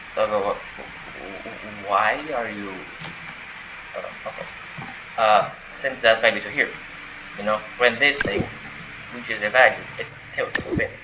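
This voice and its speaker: A man with a non-native accent speaks at a fairly slow pace, with long, frequent pauses and big swings in loudness, against noticeable background noise. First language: not English. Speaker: gaming tutorial creator. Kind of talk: tutorial. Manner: halting, many fillers and restarts; casual.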